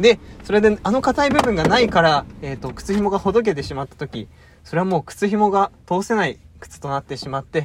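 At a fairly quick pace, a man with a high pitch makes very wide pitch swings and big swings in loudness, with noticeable background noise behind him. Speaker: podcast co-host. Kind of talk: mock job interview role-play; casual chat. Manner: halting, many fillers; awkward formal speech.

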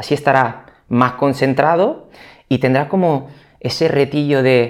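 A man speaks with an Italian accent at a medium pitch with ordinary variation. The recording is very clean, with a silent background. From Italy. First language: Italian (speaking Spanish). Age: 30s. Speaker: physical rehabilitation trainer. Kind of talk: interview.

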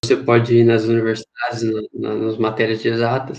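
Moderate pace and medium pitch from a man, a normal speaking voice. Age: 20s. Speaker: engineering physics student, podcast co-host. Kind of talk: casual chat.

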